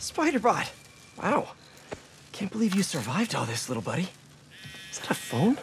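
A man puts on a character voice, high-pitched with very wide pitch swings. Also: moderate pace.

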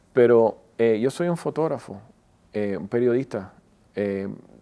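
A man's voice has a fairly low pitch and a dark, mellow tone. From Miami, Florida (Wynwood); Florida. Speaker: celebrity photographer; guest. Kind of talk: interview. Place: studio. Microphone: lapel.

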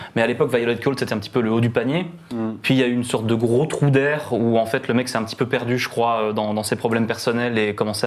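This man has a normal speaking voice at a medium pitch, talking at a fairly quick pace with fairly even intonation. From Belgium. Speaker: music columnist. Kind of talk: casual chat.

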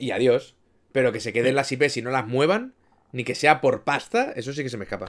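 Against a quiet background, a man speaks at a fairly quick pace with a medium pitch and ordinary pitch variation. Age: 30s. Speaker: gaming streamer. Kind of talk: casual chat. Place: home room.

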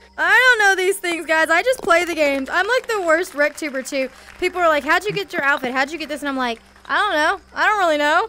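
Talking at a very fast pace with an American accent, a woman sounds animated, her raised, projected voice full of lively intonation over light background noise. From US. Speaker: gaming streamer; VR game streamer. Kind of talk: casual chat. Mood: playful, joking. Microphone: headset.

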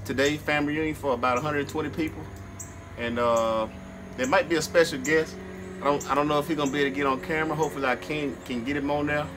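A man's voice with music in the background. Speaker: barbecue vlogger. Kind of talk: casual vlog chat. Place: garden. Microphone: phone near.

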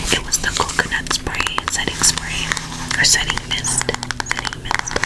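A woman whispering at a moderate pace. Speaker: ASMR creator. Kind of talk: casual talk to camera. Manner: gentle, friendly. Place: home room.

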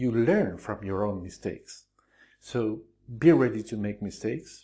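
A man with a Spanish accent speaks slowly against a quiet background, his fairly low voice dark and mellow in tone. His intonation is lively. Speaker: Spanish teacher. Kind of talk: tutorial. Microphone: lapel.

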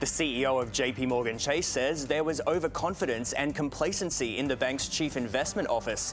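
A man's fairly high voice at a fairly quick pace, with ordinary pitch variation, very even loudness, and hardly any pauses, over music in the background. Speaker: TV host and news anchor. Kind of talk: news anchor read. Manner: authoritative, formal. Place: studio.

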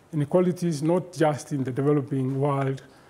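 The voice has a dark, mellow tone and is somewhat breathy. It moves at a moderate pace. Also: man. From Kenya. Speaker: professor and keynote lecturer; professor, keynote lecturer. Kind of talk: lecture. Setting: virtual lecture broadcast live from an office. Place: studio. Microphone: lapel.

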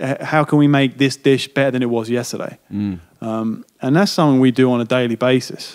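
Fairly quick speech from a man with an English accent, at medium pitch with ordinary pitch variation and hardly any pauses. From London, England. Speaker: chef and restaurant owner. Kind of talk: podcast interview answer.

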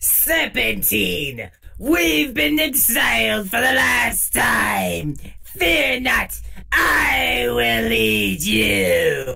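A put-on character voice shouts in a raspy way at a very slow pace. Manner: ranting, indignant.

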